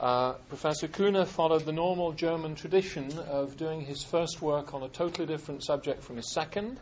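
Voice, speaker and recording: This is an unremarkable speaking voice at a fairly quick pace. Its pitch varies in ordinary ways. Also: man, fairly high pitch for a man. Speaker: lecture series organizer. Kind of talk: formal introduction. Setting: stage with audience. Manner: formal.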